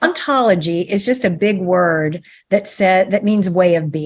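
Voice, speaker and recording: A normal speaking voice goes along at a fairly slow pace. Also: woman. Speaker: ontological coach and author. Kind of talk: podcast interview.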